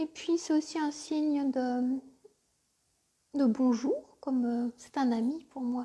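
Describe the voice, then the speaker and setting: Soft-spoken and gentle, a woman talks at a high pitch with a dark, mellow tone and ordinary pitch variation. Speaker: spiritual coach and tarot reader. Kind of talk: live tarot reading session; guided meditation. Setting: live stream by the fireside. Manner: soft and gentle.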